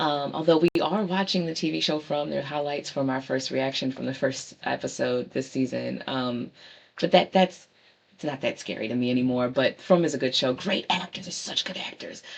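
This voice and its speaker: Talking at a moderate pace, a woman has a very deep, low pitch. Her pitch variation is ordinary. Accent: strong Baltimore. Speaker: book show host. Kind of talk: casual monologue show recap. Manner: hesitant, many fillers.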